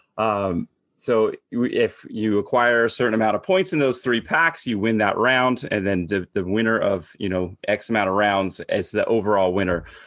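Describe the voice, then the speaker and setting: A man with an American accent speaks in a normal speaking voice at a medium pitch and moderate pace, with ordinary pitch variation and hardly any pauses. His loudness stays very even against a quiet background. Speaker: podcast host. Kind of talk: casual chat.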